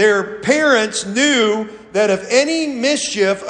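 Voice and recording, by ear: Someone is reading aloud in a natural voice. The words come across as read text.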